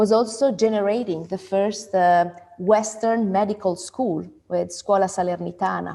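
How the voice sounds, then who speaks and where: A woman speaks in an Italian accent with a medium pitch. Her tone is dark and mellow. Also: quiet background. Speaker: event moderator, food institute founder. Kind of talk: panel discussion.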